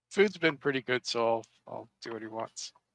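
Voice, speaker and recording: Putting on a character voice, a man speaks at a medium pitch and moderate pace, with ordinary pitch variation and big swings in loudness. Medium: actual play. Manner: blunt, short.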